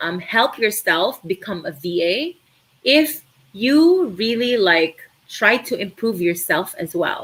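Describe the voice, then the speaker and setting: A woman with a Filipino accent speaks at a very slow pace, her pitch fairly high. Her tone is bright and sharp, with very wide pitch swings. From Philippines, Cebu. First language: Tagalog. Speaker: virtual assistant trainer. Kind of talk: live stream Q&A. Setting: live stream.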